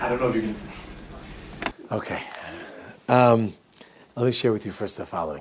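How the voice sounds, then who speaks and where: Long, frequent pauses break up a man's speech, which has an American accent and ordinary pitch variation, with noticeable background noise behind it. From New York. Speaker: rabbi, Torah teacher. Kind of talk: lecture to a live class. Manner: animated, humorous.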